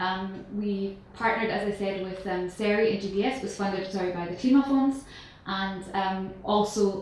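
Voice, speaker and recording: Noticeable background noise and audible room echo surround a woman speaking at medium pitch. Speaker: sustainability researcher. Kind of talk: conference presentation. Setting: conference stage with audience. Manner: hesitant, many fillers.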